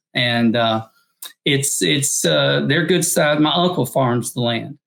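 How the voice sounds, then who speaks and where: Vocal fry in a Southern accent, at a very slow pace with lively intonation. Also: man. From US South, northeastern Arkansas. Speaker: missionary. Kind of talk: interview.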